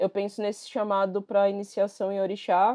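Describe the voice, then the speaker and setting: This woman's voice sits at a medium pitch as she talks at a moderate pace. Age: 30s. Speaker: human rights activist. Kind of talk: interview.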